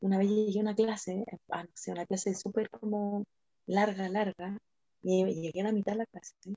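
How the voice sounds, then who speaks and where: A woman with a dark, mellow tone and a medium pitch speaks in a flat monotone, in a dry, close sound with no echo. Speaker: podcast host. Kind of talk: casual chat. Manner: fast.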